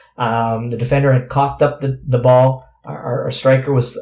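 With a Canadian accent, a man speaks at medium pitch in a dark, mellow tone that is somewhat breathy. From Canada. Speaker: former professional soccer player. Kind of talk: interview. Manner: halting, many fillers.

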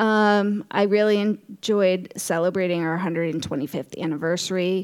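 A woman talks at a moderate pace and a medium pitch, with ordinary pitch variation, in a plain, everyday voice. The recording is very clean, with a silent background. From Connecticut (Norwalk). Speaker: library director. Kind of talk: casual interview.

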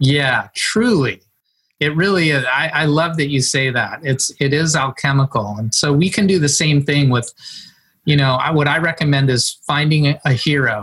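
A man talks at a moderate pace with ordinary pitch variation. His pitch is fairly high. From Northern California, rural Mendocino County. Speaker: performance and habit coach. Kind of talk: casual interview conversation.

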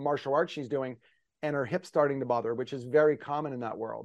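This man's voice sits fairly high. He talks at a very fast pace. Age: 50s. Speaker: posture therapy company executive. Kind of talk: interview. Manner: animated.

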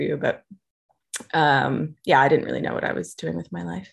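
A woman's voice with vocal fry. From Austin, Texas, US. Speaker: magazine founder and knitter.

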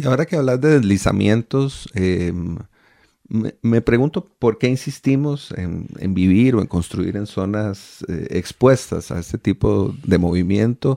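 A man's dark, mellow tone at fairly low pitch, set against a quiet background. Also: fairly slow pace, dry, close sound with no echo. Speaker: radio host. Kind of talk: radio interview. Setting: radio studio. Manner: formal, courteous.

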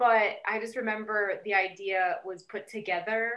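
Here is a woman with an ordinary speaking voice, pitched fairly high. She keeps a moderate pace and fairly even intonation. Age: 30s. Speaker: sex and family therapist, author. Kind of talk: casual interview.

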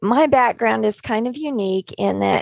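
A woman talks at a fairly slow pace and fairly high pitch, with ordinary pitch variation and a dry, close sound with no echo. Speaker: life coach. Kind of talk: group discussion.

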